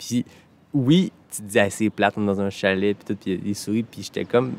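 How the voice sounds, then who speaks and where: A man speaks at a moderate pace in a fairly low voice with ordinary pitch variation. The sound is dry and close, with no echo. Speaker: podcast host. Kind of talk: casual podcast conversation.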